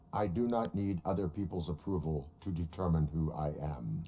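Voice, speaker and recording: In a put-on character voice, the speaker talks at a moderate pace. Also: man, very deep, low pitch for a man. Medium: game stream. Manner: flat, terse.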